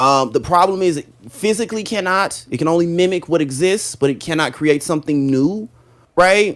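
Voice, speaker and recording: An animated man's voice, high-pitched, with ordinary pitch variation. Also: moderate pace. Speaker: gaming podcast co-host. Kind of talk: casual chat.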